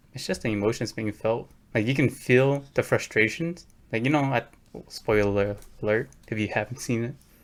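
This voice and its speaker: His pitch medium and its variation ordinary, this man uses an ordinary speaking voice at a moderate pace. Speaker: podcast co-host. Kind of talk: casual chat.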